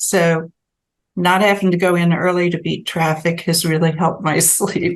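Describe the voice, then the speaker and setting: Speaking at a moderate pace, a woman with a fairly low pitch keeps a monotone, flat intonation. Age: 60s. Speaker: sleep researcher, professor. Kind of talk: interview conversation.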